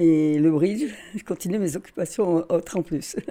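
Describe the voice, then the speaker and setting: In a dark, mellow tone, a woman speaks on a very clean recording with a silent background. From northern France, Carvin. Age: 80s. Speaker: retired cook and restaurant manager. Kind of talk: interview testimony.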